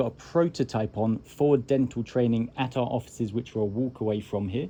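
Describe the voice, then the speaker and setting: A man talks in a British accent at a fairly quick pace. His tone is dark and mellow, with ordinary pitch variation. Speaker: tech company founder. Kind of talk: informal talk to a tour group. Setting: classroom with a tour group.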